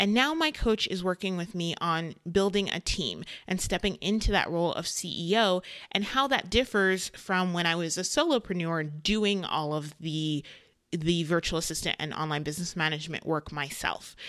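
A moderate pace and ordinary pitch variation, with a fairly low pitch, in an ordinary speaking voice from a woman. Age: 30s. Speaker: podcast host, online business manager. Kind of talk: solo podcast monologue.

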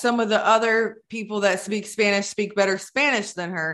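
A woman with an American accent speaks at a fairly high pitch in a bright, sharp tone against a quiet background. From Maryland (Baltimore). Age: 40s. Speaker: podcast host. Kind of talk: casual interview. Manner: chatty, rambling.

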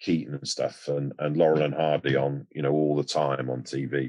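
A man's very deep, low voice with an English accent at a moderate pace. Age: 60s. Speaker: actor. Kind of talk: casual chat.

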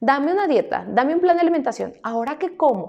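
The pitch swings very widely. The tone is animated. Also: woman. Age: 30s. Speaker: nutritionist and podcast host. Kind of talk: personal storytelling monologue.

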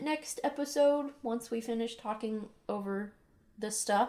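A woman talks in a fairly high pitch. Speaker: podcast co-host, first-time reader. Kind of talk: casual chat book discussion. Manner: sincere-sounding.

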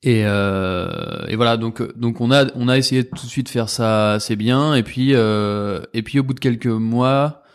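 Against a quiet background, a man speaks at a very slow pace with fairly even intonation and hardly any pauses. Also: medium pitch for a man. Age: 20s. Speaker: magazine co-founder. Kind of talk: casual chat.

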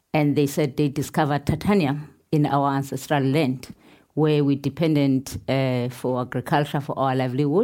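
A dark, mellow tone at a moderate pace, with very even loudness, fairly even intonation, and a very clean recording over a silent background. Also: woman, very deep, low pitch for a woman. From South Africa, Pondoland. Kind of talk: panel conversation on stage. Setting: stage with audience.

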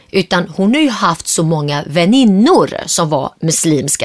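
Her pitch swinging very widely, a woman speaks at a fairly slow pace in a dry, close sound with no echo. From Sweden, Gothenburg; Syriac family from Turkey. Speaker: entrepreneur. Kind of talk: interview.

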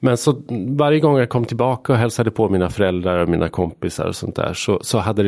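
With lively intonation, a man speaks at a moderate speed in a plain, everyday voice. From Sweden, Hälsingland. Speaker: journalist and author. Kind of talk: casual interview.

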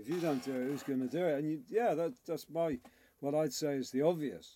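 A man speaks at a moderate pace, his pitch fairly high with ordinary variation. His tone is dark and mellow. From Liverpool, England. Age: 50s. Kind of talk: interview.

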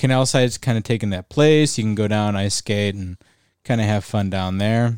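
On a very clean recording with a silent background, a man talks at a moderate pace in a normal speaking voice, fairly low in pitch with ordinary pitch variation. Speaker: podcast co-host. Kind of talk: casual chat.

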